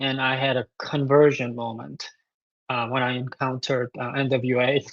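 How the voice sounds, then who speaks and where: This man talks in a medium pitch at a moderate pace, with a Korean accent. His intonation is monotone and flat, and the sound is dry and close with no echo. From South Korea. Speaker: composer. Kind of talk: interview. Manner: halting, many fillers.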